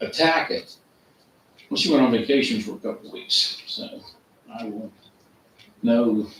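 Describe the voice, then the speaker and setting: A man talks at a moderate pace. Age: 60s. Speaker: township resident attending meeting. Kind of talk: casual chat. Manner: halting.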